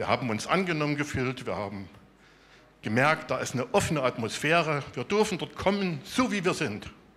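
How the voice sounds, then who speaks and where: His pitch swings very widely as he talks at a moderate pace. The man's voice sits fairly high. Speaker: software developer, church member. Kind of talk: testimony.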